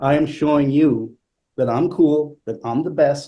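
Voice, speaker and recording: The speech is fairly slow, with a dark, mellow tone that comes across somewhat breathy. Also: man. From Italy. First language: not English. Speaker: flutist. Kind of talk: panel conversation. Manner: hesitant, many fillers.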